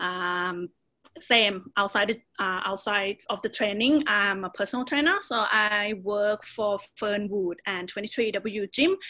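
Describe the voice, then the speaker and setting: A woman in a Thai accent, bright and sharp in tone, medium pitch, fairly slow pace, ordinary pitch variation. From Thailand, Bangkok. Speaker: Muay Thai fighter and personal trainer. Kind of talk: podcast interview.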